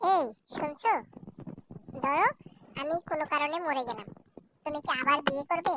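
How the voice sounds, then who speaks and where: A woman performs a cartoonish character voice at a high pitch. The sound is dry and close, with no echo. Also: moderate pace, ordinary pitch variation. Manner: insistent, melodramatic.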